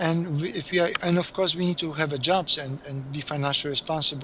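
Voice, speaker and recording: A man's fairly high voice with a Polish accent at a very fast pace, amid noticeable background noise. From Poland. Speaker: accountant. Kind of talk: interview. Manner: halting.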